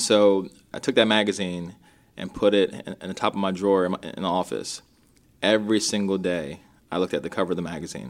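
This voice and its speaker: In a Mid-Atlantic US accent, a man with a very deep, low pitch talks at a very fast pace with ordinary pitch variation, on a very clean recording with a silent background. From Maryland, US (Rockville). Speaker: realtor. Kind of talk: interview.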